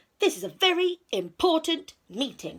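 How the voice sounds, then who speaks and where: A woman speaks at a moderate pace in an extremely high pitch. She is doing a put-on character voice. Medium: read story. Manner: calm, reassuring.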